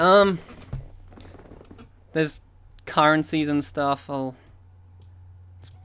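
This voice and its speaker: The loudness rises and falls sharply, with long pauses coming often. The speaker has an Australian accent. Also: man. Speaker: game developer streamer. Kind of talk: live coding stream.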